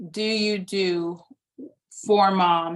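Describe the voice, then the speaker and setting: Her voice is a plain, everyday voice, a woman's at medium pitch with fairly even intonation. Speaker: doula trainer. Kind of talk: lecture.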